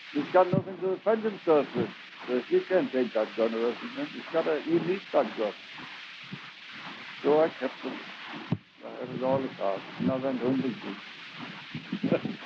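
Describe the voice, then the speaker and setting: A man speaks at a moderate pace in a fairly high pitch with very wide pitch swings and long, frequent pauses, over noticeable background noise. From Germany. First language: German. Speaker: former gold miner. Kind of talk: recorded reminiscence storytelling. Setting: home cassette recording.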